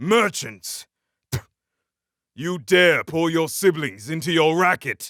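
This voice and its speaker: Using a put-on character voice, a man speaks at a fairly high pitch and fairly slow pace with long, frequent pauses. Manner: yelling, projected loudly.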